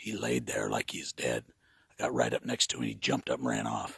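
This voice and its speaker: A man's bright, sharp voice with vocal fry, dry and close with no echo. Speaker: hunter. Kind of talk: hunting field commentary. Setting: outdoors in a tree stand, snow.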